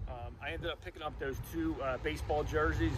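A man's voice sounds dry with no echo, though noticeable background noise comes through. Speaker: thrift reseller vlogger. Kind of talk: casual vlog chat. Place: street. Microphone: phone near.

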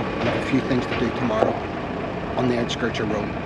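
Moderate-paced male speech against loud background noise. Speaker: motorhome travel vlogger. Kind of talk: casual vlog chat. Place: street. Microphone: phone near.

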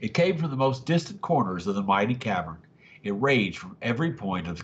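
Simple, plain reading aloud

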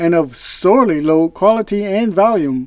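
A quiet background and a dry sound with no echo frame speech at a moderate pace. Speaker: product reviewer. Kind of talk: product review narration. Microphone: lapel.

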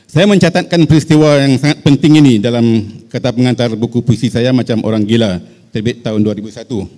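A man talks at a fairly quick pace in a dark, mellow tone with ordinary pitch variation. The background is quiet. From Malaysia. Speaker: writer and activist; panelist. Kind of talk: reading a prepared paper. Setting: hall with audience. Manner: formal. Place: hall. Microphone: handheld.

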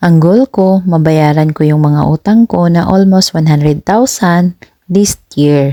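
Dry and close with no echo, a woman's very deep, low voice has a dark, mellow tone, ordinary pitch variation and a fairly slow pace. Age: 30s. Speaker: content creator. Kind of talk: motivational monologue.

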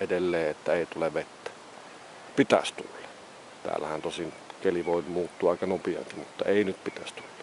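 Over light background noise, a man talks at a moderate pace, and the sound is dry with no echo. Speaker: hiker vlogger. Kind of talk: casual vlog chat. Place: open country. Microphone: phone near.

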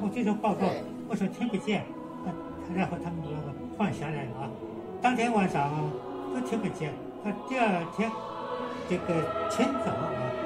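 Over loud background music, a man speaks at a moderate pace, leaving long, frequent pauses. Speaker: war veteran. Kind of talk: interview answer. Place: home room. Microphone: phone near.

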